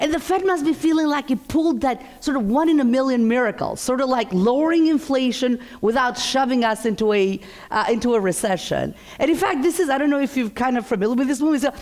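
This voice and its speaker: A woman talks very fast in a high voice, with an animated tone. Her pitch varies in an ordinary way, and there is noticeable background noise. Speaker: economist. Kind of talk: keynote presentation. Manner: loud.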